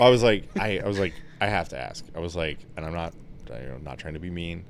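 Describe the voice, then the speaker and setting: Very deep and low-pitched, a man speaks with vocal fry. His loudness swings widely, and the room echo is audible. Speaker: Marine Corps veteran; podcast co-host. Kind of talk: casual chat. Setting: drinking wine during podcast recording. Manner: casual, frequent filler words.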